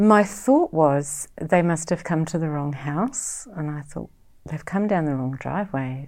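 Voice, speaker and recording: With a New Zealand accent, a woman speaks at a very deep, low pitch and a fairly slow pace, her intonation lively, on a very clean recording with a silent background. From New Zealand, West Auckland. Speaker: bereaved sister, writer. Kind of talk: personal testimony.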